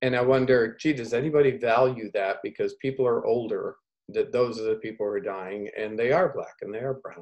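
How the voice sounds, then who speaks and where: The speaker uses a plain, everyday voice, moving at a moderate pace and varying pitch in an ordinary way. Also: man. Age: 60s. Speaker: researcher, former nurse in Africa. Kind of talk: community video call discussion.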